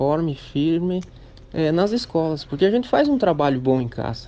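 Here is a man with a normal speaking voice. His pitch is fairly high, and he moves at a moderate pace. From Santa Catarina, Brazil (Midwest region). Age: 20s. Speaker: young farmer and beekeeper. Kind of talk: interview testimony.

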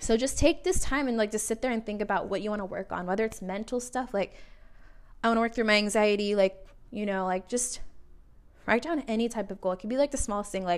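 Talking at a fairly quick pace, a woman has a plain, everyday voice at a medium pitch with ordinary pitch variation. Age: 20s. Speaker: solo podcast host. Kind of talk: casual monologue. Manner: casual and chatty with many fillers.

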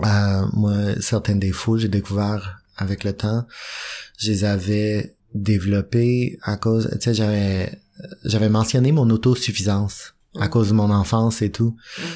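A man speaks at a fairly slow pace in a fairly low pitch, with a dark, mellow tone. His intonation is fairly even and his loudness very even. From Western Canada. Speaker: AA member sharing recovery. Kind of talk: testimony. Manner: halting.

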